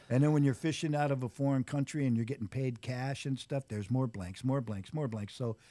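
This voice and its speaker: With a dark, mellow tone, a man talks at a fairly quick pace with hardly any pauses. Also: medium pitch for a man, ordinary pitch variation. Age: 60s. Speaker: fishmonger and former commercial fisherman. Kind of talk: casual podcast interview.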